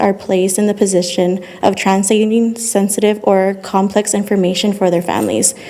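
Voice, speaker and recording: There is noticeable background noise. The speaking pace is moderate. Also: woman. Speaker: public commenter, social work student. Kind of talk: prepared public comment. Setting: city council meeting.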